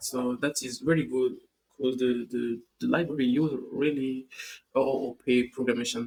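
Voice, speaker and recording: At a moderate pace, a man with a non-native accent speaks in a medium pitch with fairly even intonation. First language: not English. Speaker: tech tutorial youtuber. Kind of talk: coding tutorial. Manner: halting, many fillers and repeats.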